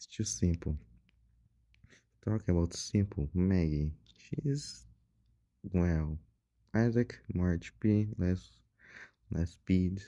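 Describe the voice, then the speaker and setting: A man with a Portuguese accent speaks in a very deep, low pitch with a dark, mellow tone. His pace is very slow, broken by long, frequent pauses. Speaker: gaming YouTuber. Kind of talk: casual gaming commentary. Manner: halting. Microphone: poor audio quality.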